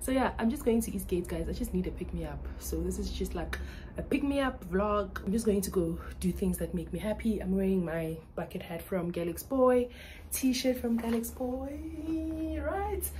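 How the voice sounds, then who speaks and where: The voice moves at a moderate pace over light background noise. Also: woman. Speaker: vlogger. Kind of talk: casual vlog chat. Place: home room. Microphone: phone near.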